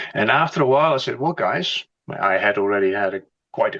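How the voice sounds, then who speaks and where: A man with a Dutch accent at a moderate pace, with lively intonation. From Netherlands. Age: 60s. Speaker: company executive. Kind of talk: interview.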